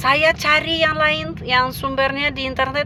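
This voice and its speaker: A woman at a fairly slow pace against noticeable background noise. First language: Russian (speaking Indonesian). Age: 50s. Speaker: language teacher. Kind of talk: casual vlog talk. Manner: halting with many fillers.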